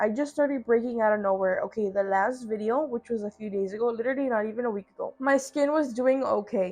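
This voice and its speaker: A woman's fairly high, normal speaking voice at a fairly quick pace with ordinary pitch variation. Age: 20s. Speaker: YouTuber. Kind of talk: casual vlog chat.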